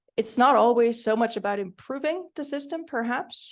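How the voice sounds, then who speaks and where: In a Swiss German accent, a woman talks at a moderate pace. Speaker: panelist, design researcher. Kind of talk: conference panel Q&A.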